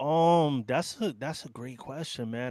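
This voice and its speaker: A fairly high-pitched man with a New York accent and ordinary pitch variation, in a very clean recording with a silent background. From New York City (Bronx). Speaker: biker news youtuber, ex-gang member. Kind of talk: casual chat.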